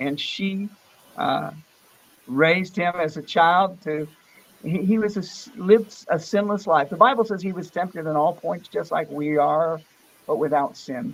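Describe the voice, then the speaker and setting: Speaking slowly with ordinary pitch variation, a man with an American accent has a high voice. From Florida, US. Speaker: pastor and studio musician. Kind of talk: casual interview; evangelistic testimony.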